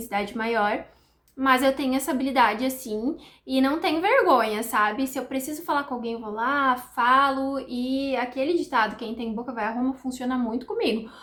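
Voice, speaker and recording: The woman's voice is high in pitch, and she moves at a fairly quick pace. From Brazil, countryside. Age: 30s. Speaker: nutritionist, vlogger. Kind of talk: casual vlog chat. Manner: chatty, fluent.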